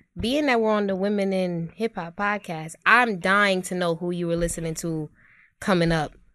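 A woman speaks with a New York accent in a bright, sharp tone at a medium pitch. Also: ordinary pitch variation, moderate pace, quiet background. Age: 20s. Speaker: culture critic and digital marketer. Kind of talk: casual chat. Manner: animated.

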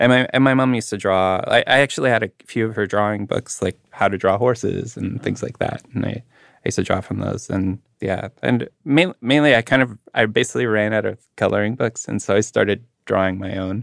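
A man speaks in a Manitoban accent at a medium pitch. His pace is fairly quick, and the sound is dry and close with no echo. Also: ordinary pitch variation. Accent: Canadian (Manitoba). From Canada, Winnipeg. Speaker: artist. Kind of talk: casual chat.

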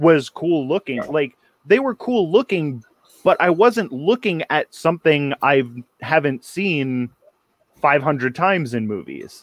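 Heard in a dry, close sound with no echo, a man speaks with a fairly high pitch and lively intonation. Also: fairly slow pace. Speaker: podcast co-host. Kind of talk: casual chat. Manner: animated.

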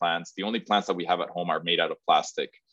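Talking at a very fast pace is a man. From Mexico. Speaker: startup founder. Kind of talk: interview.

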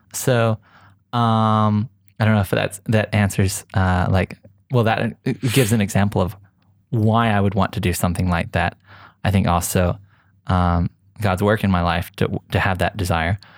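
In a very clean recording with a silent background and a dry, close sound with no echo, a man with an Oklahoma accent speaks at fairly low pitch and a moderate pace, with fairly even intonation, very even loudness and long, frequent pauses. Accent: American, Oklahoma. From US, Oklahoma. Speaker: photographer and filmmaker. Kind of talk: casual interview.

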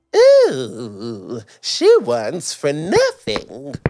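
A woman puts on a character voice. She pitches it very deep and low. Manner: awed, admiring.

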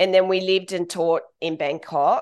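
A woman with an Australian accent is heard against a quiet background. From Central Coast of Australia, small town. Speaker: travel blogger. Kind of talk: interview conversation.

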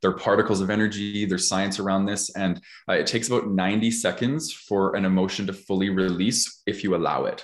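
On a very clean recording with a silent background, a man with a fairly low pitch speaks in an ordinary speaking voice at a fairly quick pace, with fairly even intonation, very even loudness and hardly any pauses. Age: 30s. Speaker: podcast host. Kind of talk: casual chat.

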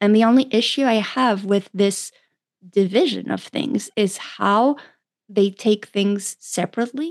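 A woman with a French accent speaks at a fairly slow pace, her pitch fairly high with ordinary variation. The sound is dry and close, with no echo. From France. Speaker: doctor and pleasure coach. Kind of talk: interview.

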